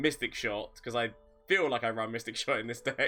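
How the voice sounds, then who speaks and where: A man is speaking. Music plays in the background. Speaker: gaming streamer. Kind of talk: live gameplay commentary.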